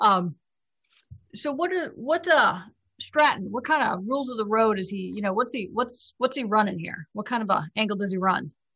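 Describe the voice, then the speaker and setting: A woman with an American accent speaks at a moderate pace and fairly high pitch with lively intonation, in an unremarkable speaking voice. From Chicago. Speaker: tabletop role-playing game player. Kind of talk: casual chat during a live-streamed role-playing game.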